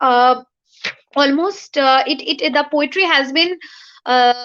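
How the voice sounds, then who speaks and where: A woman's bright, sharp, high-pitched voice at a fairly slow pace, with fairly even intonation. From India (Bengali-speaking). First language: Bengali. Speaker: poet. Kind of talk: interview. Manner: halting. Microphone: bad network.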